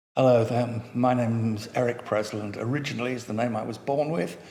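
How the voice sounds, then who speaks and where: A man with a London accent speaks at a moderate pace in a monotone, flat intonation. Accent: southern English, educated London. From North London, England. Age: 70s. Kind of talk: oral history interview. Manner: halting, with many fillers and repetitions.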